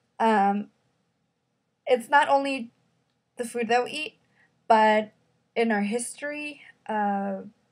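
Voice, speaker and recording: In a Spanish accent, a woman speaks very slowly with a fairly high pitch and ordinary pitch variation. Her loudness swings widely, and she takes long, frequent pauses. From Mexico City. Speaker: student. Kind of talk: class presentation. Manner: hesitant, many fillers.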